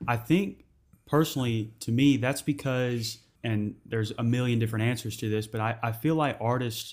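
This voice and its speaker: At a moderate pace, a man with a plain, everyday voice speaks at a medium pitch on a very clean recording with a silent background. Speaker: podcast host. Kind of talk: casual interview chat.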